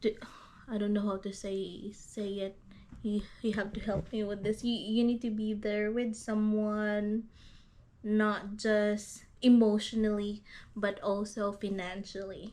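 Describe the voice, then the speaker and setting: A woman with a Visayan accent, fairly high pitch, a dark, mellow tone, monotone, flat intonation and a fairly slow pace. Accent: Filipino (Visayan) accented English. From Philippines, Iloilo. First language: Hiligaynon. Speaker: YouTuber. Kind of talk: casual chat. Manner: halting.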